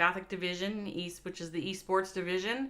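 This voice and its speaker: A woman's animated, bright and sharp voice at a medium pitch, with a Minnesotan accent. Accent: Minnesota. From US Midwest, Minnesota. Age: 50s. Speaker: esports commentator. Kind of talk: live commentary.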